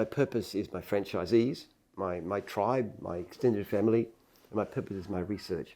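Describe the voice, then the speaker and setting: Recorded very cleanly against a silent background, a man talks with an Australian accent at a moderate pace. His pitch is fairly low with ordinary variation, and his tone is dark and mellow. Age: 70s. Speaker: entrepreneur. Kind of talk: interview. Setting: office headquarters.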